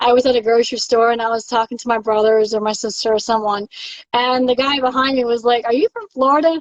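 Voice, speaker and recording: Speaking very fast, a woman with an American accent has a high pitch. The sound is dry and close, with no echo. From Alabama, US South. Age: 30s. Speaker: live streamer chatting with fans. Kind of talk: casual live chat. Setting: at home, live stream. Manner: animated.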